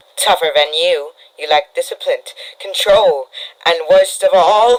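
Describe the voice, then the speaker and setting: Here is a man doing a cartoonish character voice with a high pitch. He speaks at a fairly slow pace. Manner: polite, menacing.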